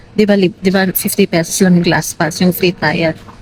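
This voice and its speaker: Over noticeable background noise, a woman with a fairly low pitch speaks fairly quickly in a flat monotone. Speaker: lifestyle vlogger. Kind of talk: casual vlog talk. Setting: hotel lobby. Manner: halting, filler-heavy.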